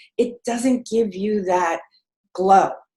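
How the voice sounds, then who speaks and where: Somewhat breathy and fairly high-pitched, a woman speaks with lively intonation. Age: 70s. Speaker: energy healer and life coach. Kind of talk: panel discussion. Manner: animated.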